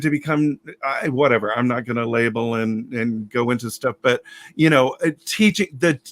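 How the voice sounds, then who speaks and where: A man with an American accent, at a moderate pace and with ordinary pitch variation. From US South (Alabama). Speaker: drag storyteller. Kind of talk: casual chat. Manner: halting.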